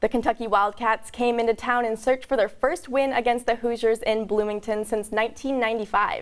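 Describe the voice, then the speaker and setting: In an ordinary speaking voice, a woman talks at a fairly quick pace with fairly high pitch and fairly even intonation, in a very clean recording with a silent background. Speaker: sports anchor. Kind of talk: TV sports news anchoring.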